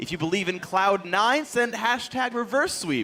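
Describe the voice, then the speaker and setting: Through noticeable background noise, a man uses a raised, projected voice at a fairly slow pace with lively intonation. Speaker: esports caster. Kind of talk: live commentary. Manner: loud; animated.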